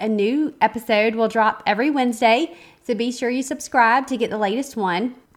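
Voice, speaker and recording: On a very clean recording with a silent background, a woman with a Southern US accent speaks at a fairly high pitch. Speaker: podcast host, photographer and business coach. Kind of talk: podcast intro monologue. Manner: casual, conversational with fillers.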